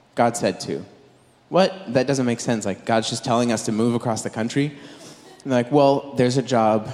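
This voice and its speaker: Speaking with an American accent, a man has a medium pitch and ordinary pitch variation at a moderate pace. Background noise is noticeable. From Southern California. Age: 20s. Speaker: preacher. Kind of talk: sermon.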